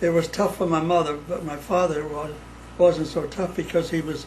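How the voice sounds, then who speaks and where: With noticeable background noise, a man talks at a moderate pace in a high pitch with a monotone, flat intonation. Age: 80s+. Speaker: son of Sicilian immigrants. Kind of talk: interview answer.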